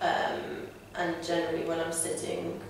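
The speech comes at a fairly slow pace, with strong room echo and light background noise. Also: woman. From Lithuania. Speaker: patient being interviewed. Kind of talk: interview answer. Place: office.

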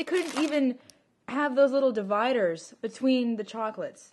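A woman speaks in a high pitch at a moderate pace. There is light background noise. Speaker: vlogger. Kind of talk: casual vlog chat, sarcastic rant. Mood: annoyed, mocking. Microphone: phone near.

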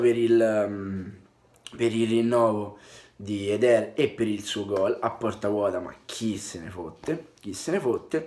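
Soft-spoken yet with big swings in loudness, a man at a medium pitch speaks at a fairly slow pace over light background noise. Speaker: football fan vlogger. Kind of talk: casual vlog commentary. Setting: away from home, indoors. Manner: quiet, speaking softly. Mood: content but wry after draw. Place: home room. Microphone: webcam.

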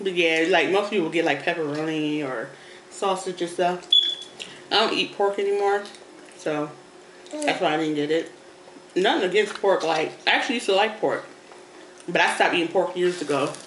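Delivered at a moderate pace with long, frequent pauses and ordinary pitch variation, the speech carries audible room echo over light background noise. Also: woman, fairly low pitch for a woman. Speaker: mother vlogger. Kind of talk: casual mukbang chat. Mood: relaxed, chatty. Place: home room. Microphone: phone near.

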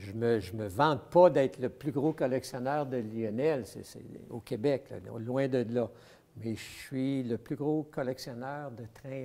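A man with a Quebec accent speaks fairly slowly in a dark, mellow tone with ordinary pitch variation. His loudness swings widely. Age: 70s. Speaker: model train collector. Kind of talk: casual interview, showing his collection. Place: hall. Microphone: lapel.

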